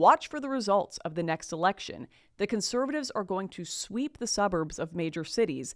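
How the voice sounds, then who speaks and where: An animated woman with a Canadian accent talks at a medium pitch and a moderate pace. Her pitch swings very widely against a quiet background. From Canada. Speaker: commentator. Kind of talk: opinionated monologue to camera. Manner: animated, sarcastic. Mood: indignant, critical. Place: studio. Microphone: studio mic.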